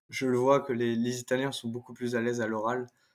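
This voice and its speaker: His voice sits at a medium pitch. The man's delivery stays monotone, with flat intonation. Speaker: former exchange student. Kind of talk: interview conversation. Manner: hesitant, many fillers.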